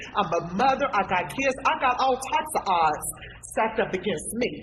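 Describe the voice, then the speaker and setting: A woman speaks at a moderate pace with a fairly high pitch, an animated tone and very wide pitch swings. Her loudness stays very even, while noticeable background noise runs underneath. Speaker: community activist. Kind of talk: panel discussion.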